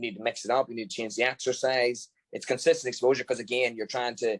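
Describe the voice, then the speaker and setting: Very fast, a man talks at medium pitch, the sound dry and close with no echo. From Ireland. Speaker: football strength and conditioning coach. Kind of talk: podcast interview.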